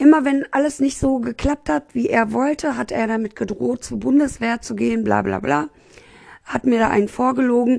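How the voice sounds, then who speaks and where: Against a quiet background, a woman talks in an animated tone at a moderate pace. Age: 30s. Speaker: podcaster. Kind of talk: casual personal monologue. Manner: chatty, many fillers.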